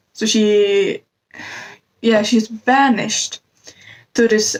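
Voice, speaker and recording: With a non-native accent, a woman speaks at a fairly high pitch with ordinary pitch variation, the sound dry and close with no echo. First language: not English. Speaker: book reviewer. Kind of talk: casual book review vlog. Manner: halting, with self-corrections.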